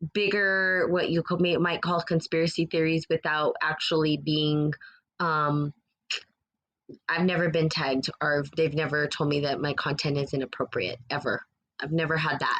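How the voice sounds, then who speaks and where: In an American accent, a woman speaks at a moderate pace with a very deep, low pitch, monotone, flat intonation and very even loudness. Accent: US Southwestern accent noticed by a viewer. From New Mexico. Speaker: spiritual podcast host. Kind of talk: live stream chat with viewer comments. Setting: live stream. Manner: casual, rambling with fillers.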